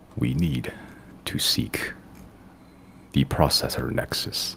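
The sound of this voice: Putting on a robotic character voice, a man speaks raspy and very deep in pitch at a fairly slow pace over light background noise.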